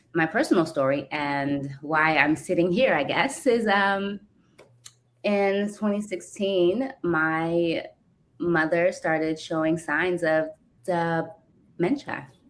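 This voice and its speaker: A woman talks very slowly in a fairly low pitch, and her pitch varies in an ordinary way. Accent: American. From California. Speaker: caregiver and community co-founder. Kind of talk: interview testimony. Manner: fluent.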